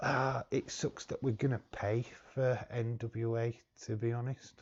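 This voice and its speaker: A man speaks in a monotone, flat intonation. His voice is somewhat breathy. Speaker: wrestling streamer. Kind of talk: live watch-along commentary. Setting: live stream. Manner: casual, halting.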